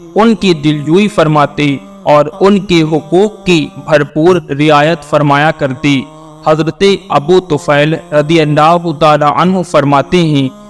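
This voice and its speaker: Over music in the background, a man speaks at a fairly high pitch with very even loudness and fairly even intonation. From India. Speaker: voice-over artist. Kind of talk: religious lecture narration.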